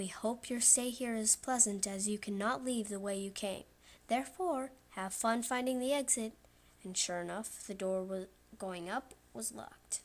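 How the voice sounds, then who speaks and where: At a moderate pace, a woman with a fairly high pitch speaks with ordinary pitch variation. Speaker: creepypasta narrator. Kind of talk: horror story reading. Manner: loud.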